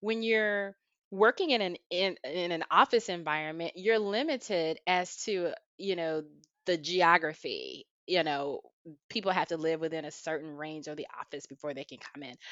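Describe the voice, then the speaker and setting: With an enthusiastic tone, a woman speaks at a fairly low pitch and a moderate pace. Her loudness swings widely while her pitch variation is ordinary. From US South, Albany, Georgia. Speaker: healthcare operations director. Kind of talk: interview.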